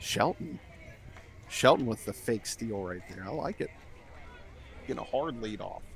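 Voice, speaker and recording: Soft-spoken, a man with fairly low pitch talks at a fairly slow pace amid noticeable background noise. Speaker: play-by-play announcer. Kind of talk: live commentary. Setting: outdoors behind the fence at a ballfield. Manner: subdued, not too animated.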